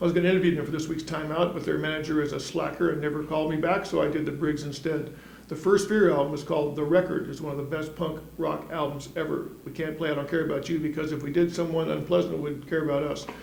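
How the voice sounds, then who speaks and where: With a Californian accent and a fairly high pitch, a man talks at a very fast pace with hardly any pauses, amid noticeable background noise and audible room echo. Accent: General American (Californian). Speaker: music columnist. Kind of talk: scripted weekly event roundup. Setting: studio. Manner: wisecracking, animated.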